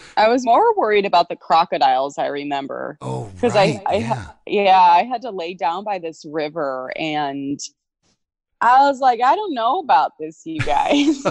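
A woman speaks at a medium pitch and a moderate pace. Her pitch swings very widely and her loudness rises and falls sharply. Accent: Midwestern American. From Illinois, US Midwest. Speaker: actress. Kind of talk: interview. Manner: animated.

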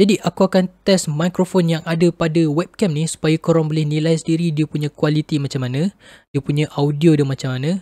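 A man with a fairly high pitch and a dark, mellow tone talks at a fairly quick pace. His intonation stays fairly even, and the sound is dry with no echo over a quiet background. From Malaysia. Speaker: YouTuber, tech reviewer; tech reviewer. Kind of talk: product review. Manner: casual. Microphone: built-in webcam microphone.

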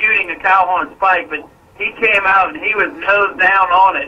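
A man is speaking. His pitch sits high. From New Orleans. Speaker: hunter, caller; caller. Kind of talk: call-in conversation. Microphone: phone line.

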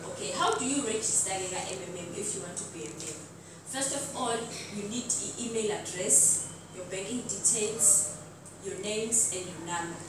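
With strong room echo and noticeable background noise, a woman talks at a moderate pace with ordinary pitch variation. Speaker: presenter. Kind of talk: presentation. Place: hall. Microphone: camera far.

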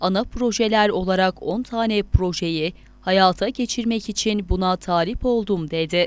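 Fairly even in intonation, a woman at medium pitch has a plain, everyday voice. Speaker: news reporter. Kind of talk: news narration.

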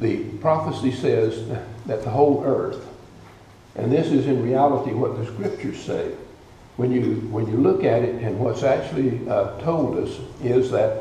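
Light background noise and audible room echo accompany a man's voice. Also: moderate pace. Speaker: guest preacher. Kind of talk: sermon. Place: church. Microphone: podium.

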